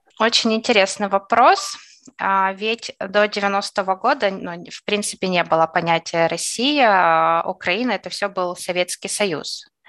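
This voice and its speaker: At a fairly slow pace, a woman speaks at medium pitch with ordinary variation against a quiet background, the sound dry and close with no echo. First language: Russian (speaking German). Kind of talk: interview testimony.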